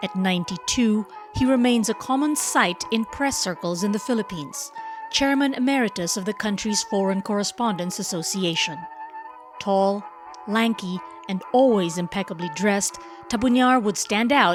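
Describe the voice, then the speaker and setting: A moderate pace and lively intonation over background music. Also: woman, medium pitch for a woman. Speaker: journalist. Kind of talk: documentary narration.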